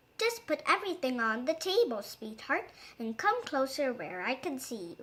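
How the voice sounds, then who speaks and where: A put-on character voice sounds female, pitched high with very wide pitch swings. The pace is moderate. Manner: feigned sweetness.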